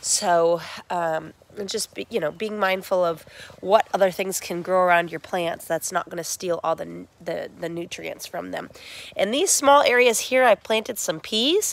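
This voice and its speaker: An unremarkable speaking voice from a woman, medium in pitch, with ordinary pitch variation and a moderate pace, on a very clean recording with a silent background. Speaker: small farmer. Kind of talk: casual video walkthrough. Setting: inside a hoop house greenhouse.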